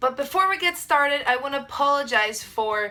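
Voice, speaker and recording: Over music in the background, a woman projects her high-pitched voice in a Brazilian accent with lively intonation. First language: Portuguese. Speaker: vlogger. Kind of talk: casual vlog talk. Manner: hesitant, many fillers.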